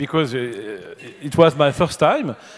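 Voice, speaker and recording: Fairly slow speech from a man, with noticeable noise in the background. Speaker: philosophy teacher, speaker. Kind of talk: Q&A after a lecture. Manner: halting.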